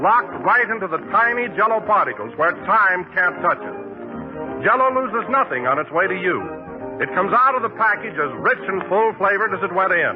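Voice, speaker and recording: A man at a high pitch and fairly quick pace, lively intonation, music in the background. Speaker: radio announcer. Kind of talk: radio commercial read.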